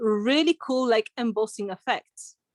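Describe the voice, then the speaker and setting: The sound is dry and close, with no echo. A woman with a non-native accent speaks at a fairly slow pace, fairly high in pitch, with lively intonation. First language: not English. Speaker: art instructor. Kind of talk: live online craft tutorial. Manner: casual, chatty.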